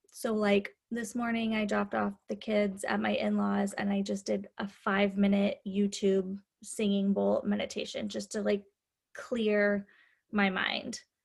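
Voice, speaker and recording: A somewhat breathy woman with an American accent, medium pitch and a fairly slow pace. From US Midwest. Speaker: hairstylist and salon owner. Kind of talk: casual chat.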